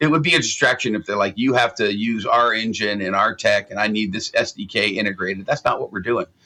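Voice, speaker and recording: An American-accented man talks very fast at a medium pitch, with hardly any pauses. His tone is bright and sharp, and his pitch variation ordinary. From US West Coast, San Francisco Bay Area. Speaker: game studio founder. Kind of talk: interview. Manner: animated.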